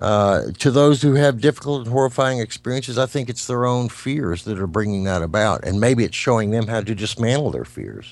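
This man speaks at a medium pitch and a fairly quick pace, with ordinary pitch variation and hardly any pauses. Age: 60s. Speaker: psychic medium and musician. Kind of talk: interview.

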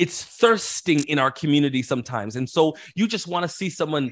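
A man with a normal speaking voice, lively intonation and a moderate pace, on a very clean recording with a silent background. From Canada, Toronto. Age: 40s. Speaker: minister. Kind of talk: casual interview.

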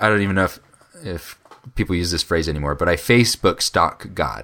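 With an American accent, a man speaks in a bright, sharp tone with vocal fry and very wide pitch swings. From Colorado (Fort Collins). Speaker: podcast co-host. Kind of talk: casual chat.

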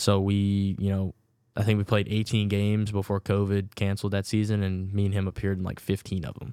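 The voice has a dark, mellow tone and a slight Southern US accent, delivered in a monotone, flat way at a fairly quick pace. The recording is very clean, with a silent background. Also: man, fairly low pitch for a man. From Virginia. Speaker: rookie baseball pitcher. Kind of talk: casual interview.

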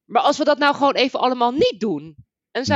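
A woman speaks in a dry, close sound that has no echo. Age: 30s. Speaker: game narrator. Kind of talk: casual chat.

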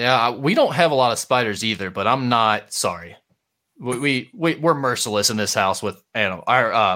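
Bright, sharp tone from a man at medium pitch, lively intonation, and a very clean recording with a silent background. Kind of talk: casual sports talk podcast. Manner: fast talker, gets excited.

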